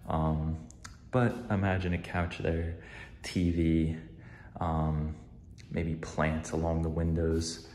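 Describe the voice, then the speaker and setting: Over light background noise and with audible room echo, a man talks at a very slow pace with a very deep, low pitch. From New Jersey. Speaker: vlogger and research assistant; vlogger. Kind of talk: casual vlog. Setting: at home, apartment tour. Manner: casual, frequent filler words. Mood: friendly, a bit self-conscious. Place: home room. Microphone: phone near.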